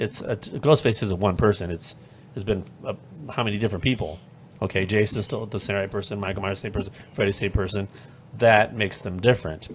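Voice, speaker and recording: A fairly low-pitched man, very fast, with fairly even intonation. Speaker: podcast co-host. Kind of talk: casual chat.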